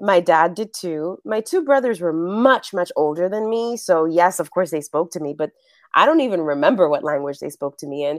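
In a Spanish accent, a woman speaks with lively intonation in a fairly low voice. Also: moderate pace, very clean recording, silent background. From New York City, the Bronx. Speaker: actress and acting coach. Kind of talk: interview.

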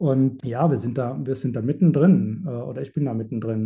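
A man's voice is somewhat breathy, with a dark, mellow tone. His pitch variation is ordinary. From Germany, rural village. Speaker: animal sanctuary founder. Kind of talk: interview. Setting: video call.

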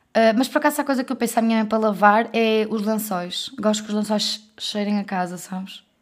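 Speaking with a European Portuguese accent, a woman talks at a fairly quick pace, her pitch fairly high and her intonation fairly even. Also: hardly any pauses, very clean recording, silent background. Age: 20s. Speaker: podcast co-host. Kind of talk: casual chat.

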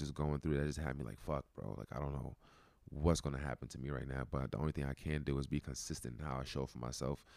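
With a New York accent, a man speaks at a very fast pace in a very deep, low pitch. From New York City (Brooklyn). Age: 30s. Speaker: wellness community founder. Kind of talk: casual interview.

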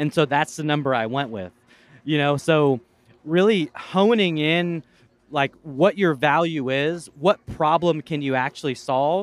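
A man with an American accent talks fairly slowly in a plain, everyday voice, pitched fairly high with ordinary pitch variation. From US West Coast, Portland. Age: 40s. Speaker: entrepreneur and content creator. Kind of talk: casual interview chat. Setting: outdoors at a venue.

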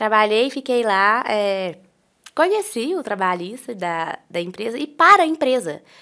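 Bright and sharp in tone, a woman speaks at a fairly slow pace with a fairly high pitch that swings very widely. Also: very clean recording, silent background. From Brazil, Minas Gerais (Itaúna). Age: 20s. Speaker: lawyer. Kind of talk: casual interview chat.

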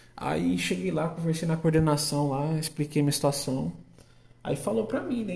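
Audible room echo surrounds a man speaking at a moderate pace in a fairly high voice. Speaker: podcast host and agronomy student. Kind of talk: casual monologue. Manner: halting.

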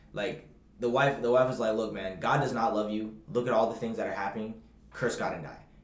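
An animated man at a medium pitch and fairly quick pace, with ordinary pitch variation, audible room echo and noticeable background noise. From Bahamas. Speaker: podcast co-host. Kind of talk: casual chat.

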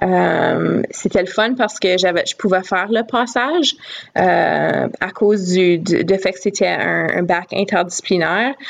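Noticeable noise fills the background. Over it, a woman talks very slowly. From Northern Ontario, Sturgeon Falls. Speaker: education professor and doctoral student. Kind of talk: casual interview.

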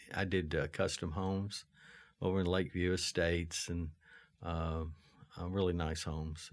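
A man talks at a moderate pace with a very deep, low pitch and fairly even intonation. The recording is very clean, with a silent background. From Lexington, Kentucky. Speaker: real estate developer. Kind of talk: interview. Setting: studio.

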